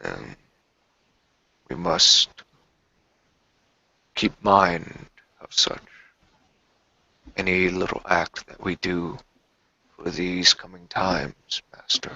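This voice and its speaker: A man speaks quietly in a put-on character voice with a very deep, low pitch. He goes at a very slow pace with long, frequent pauses. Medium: actual play. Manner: hushed, low.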